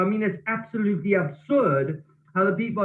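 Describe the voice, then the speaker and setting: Loud and high-pitched for a man, he speaks with ordinary pitch variation. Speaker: network marketing team leader. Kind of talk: online training call. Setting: office. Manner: animated.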